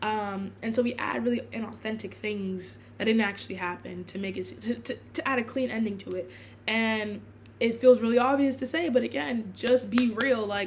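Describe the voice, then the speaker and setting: Her pitch is fairly high, with ordinary variation. The woman sounds somewhat breathy. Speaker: blogger and student. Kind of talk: casual vlog monologue. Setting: filming in her room. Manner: fast; halting, many fillers and restarts.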